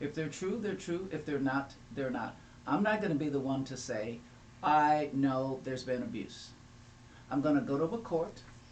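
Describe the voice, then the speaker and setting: Audible room echo surrounds a man who talks at a moderate pace with a fairly high pitch and lively intonation. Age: 70s. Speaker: family law attorney. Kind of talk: panel discussion. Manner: animated.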